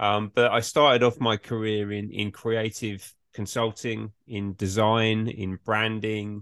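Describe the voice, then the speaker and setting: A man with an English accent speaks in a fairly low pitch at a fairly slow pace. His intonation is monotone and flat, and the sound is dry and close with no echo. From England. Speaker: management consultant. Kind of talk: interview.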